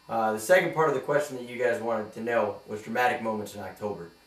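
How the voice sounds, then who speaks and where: Fairly quick speech with an American accent over noticeable background noise. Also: man. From New York. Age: 20s. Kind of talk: audition tape, casual talk to camera.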